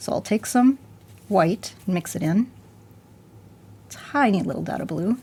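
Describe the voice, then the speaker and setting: A woman with a dark, mellow tone and medium pitch sounds somewhat breathy, with lively intonation. She talks at a fairly slow pace with long, frequent pauses. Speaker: art instructor. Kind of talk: tutorial.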